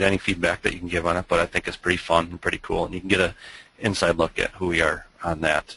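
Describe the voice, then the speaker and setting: A man speaks at a fairly quick pace with a strong Minnesota accent. His pitch is very deep and low. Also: dry sound with no echo. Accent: Minnesota accent, thick. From Minnesota, US Midwest. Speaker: web agency owner, webinar presenter; webinar presenter. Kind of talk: webinar presentation. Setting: online webinar, screen share. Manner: hesitant, many fillers. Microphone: video call.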